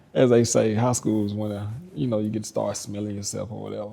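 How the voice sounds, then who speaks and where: A man's voice amid noticeable background noise. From US South, Arkansas. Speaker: credit repair business owner. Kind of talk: interview, personal life story. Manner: casual, halting with fillers.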